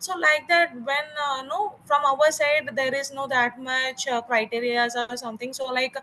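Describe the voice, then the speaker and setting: Raising and projecting her voice, a woman with an Indian accent speaks in a high pitch with a bright, sharp tone at a fairly slow pace. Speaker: garment manufacturer. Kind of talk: networking call discussion. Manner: halting.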